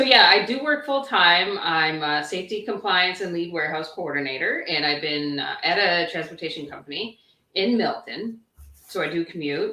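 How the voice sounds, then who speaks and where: A woman's fairly low voice with a Canadian accent, at a moderate pace with lively intonation. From Mississauga, Ontario, Canada. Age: 30s. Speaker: warehouse coordinator and online business owner. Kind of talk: casual interview chat. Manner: hesitant, many fillers.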